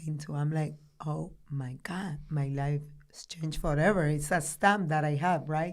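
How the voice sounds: A woman with a Dominican accent at a fairly slow pace.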